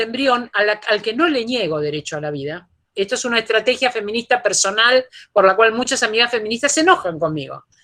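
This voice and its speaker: A woman's bright, sharp, fairly high voice, fairly quick, with very wide pitch swings. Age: 60s. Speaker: philosophy professor. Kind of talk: lecture Q&A answer.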